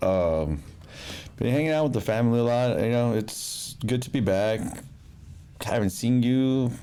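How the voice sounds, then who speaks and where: A man with an American accent mumbles at a moderate pace with long, frequent pauses, his dark, mellow voice at medium pitch with ordinary pitch variation and very even loudness, in audible room echo. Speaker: podcast guest. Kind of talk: casual chat. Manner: mumbling.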